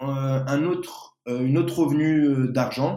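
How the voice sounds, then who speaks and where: This is a man speaking. His pitch is fairly high. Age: 20s. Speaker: pastry chef. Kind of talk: interview.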